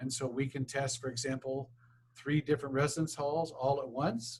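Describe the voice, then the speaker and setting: A man's somewhat breathy voice at a medium pitch. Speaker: university administrator presenting a grant request. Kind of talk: grant presentation at public board meeting. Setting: public board meeting. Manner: fast.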